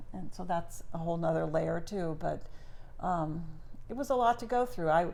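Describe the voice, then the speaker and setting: With audible room echo, a woman speaks at a moderate pace in a fairly low voice with lively intonation. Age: 60s. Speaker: grandmother podcast co-host. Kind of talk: casual chat.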